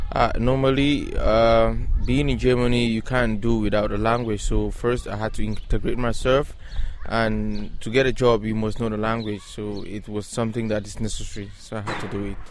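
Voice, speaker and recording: A man at a moderate pace, with audible room echo. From Cameroon. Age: young. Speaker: language learner. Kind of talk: street interview. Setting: outdoors at a playground.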